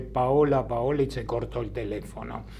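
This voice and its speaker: A man is speaking, with audible room echo. Noticeable background noise is present. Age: 80s+. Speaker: bereaved father of a bombing victim. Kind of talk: testimony.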